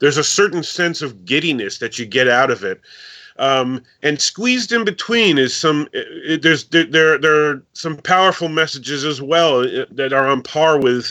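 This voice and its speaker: A man with an ordinary speaking voice, fairly high pitch, lively intonation and moderate pace. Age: 50s. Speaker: author. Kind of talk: casual interview.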